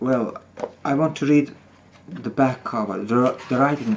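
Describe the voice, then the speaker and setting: A man is speaking. He has a non-native accent. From Soviet Union. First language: not English. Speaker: author. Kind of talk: reading aloud. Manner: halting.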